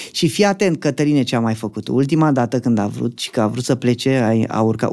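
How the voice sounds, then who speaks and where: A man with a normal speaking voice talks at a fairly quick pace with lively intonation, on a very clean recording with a silent background. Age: 30s. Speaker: magician. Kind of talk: casual chat.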